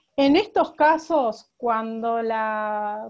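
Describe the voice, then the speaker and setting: A woman's fairly high-pitched voice comes through over a quiet background. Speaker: lawyer on a panel. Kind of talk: online talk presentation. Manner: halting, many repetitions.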